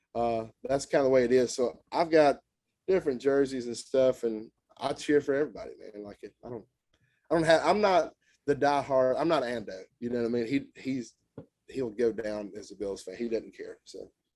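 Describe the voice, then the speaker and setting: A man speaks with a Southern US accent. His tone is dark and mellow. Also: medium pitch for a man, ordinary pitch variation, moderate pace. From Tennessee. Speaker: country musician. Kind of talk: casual chat.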